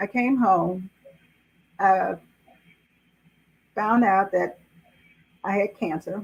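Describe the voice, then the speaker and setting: Very slowly, a woman with a Southern US accent speaks at a medium pitch with ordinary pitch variation. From US South, South Carolina. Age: 80s+. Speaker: author. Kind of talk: interview.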